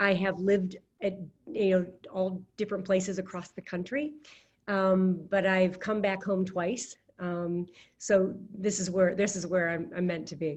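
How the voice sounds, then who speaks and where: At a fairly slow pace, a woman with an American accent speaks at a medium pitch with fairly even intonation. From US Midwest, Fort Wayne, Indiana. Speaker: economic development executive. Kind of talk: podcast interview.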